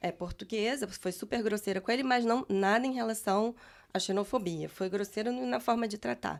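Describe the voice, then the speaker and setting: This is a woman with a normal speaking voice, medium in pitch and moderate in pace. The recording is very clean, with a silent background. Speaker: guest on immigration podcast. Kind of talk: casual chat.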